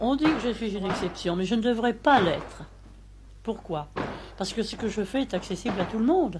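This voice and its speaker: A woman's fairly high voice with lively intonation at a moderate pace, long, frequent pauses, audible room echo, and noticeable background noise. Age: 80s+. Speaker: martial arts teacher. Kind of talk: interview; class instruction.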